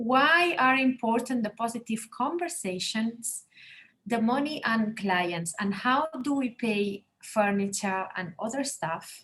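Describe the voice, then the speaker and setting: In a Spanish accent, a woman speaks very slowly with a bright, sharp tone and lively intonation. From Spain, Barcelona. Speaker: interior designer. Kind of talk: webinar presentation. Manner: halting.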